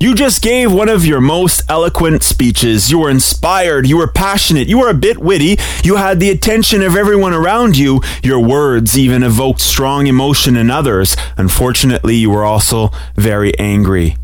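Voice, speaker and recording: Over noticeable background noise, a man with a fairly high voice talks at a fairly quick pace in an upbeat, energetic tone, his pitch swinging very widely while his loudness stays very even. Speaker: radio DJ host. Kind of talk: radio DJ patter. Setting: radio studio. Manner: upbeat, energetic announcer delivery.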